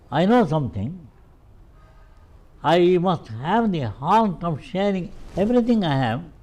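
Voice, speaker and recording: Fairly slow and broken by long, frequent pauses, a man's high-pitched voice moves through very wide pitch swings. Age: 90s. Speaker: veena maestro. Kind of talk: interview conversation. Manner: halting.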